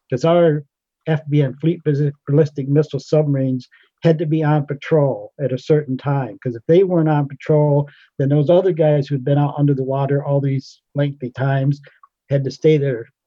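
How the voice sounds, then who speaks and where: A man with an American accent speaks at a moderate pace in a fairly high pitch. His voice is somewhat breathy, and his intonation is monotone and flat. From Pennsylvania. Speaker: retired navy sailor. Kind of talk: casual reminiscence.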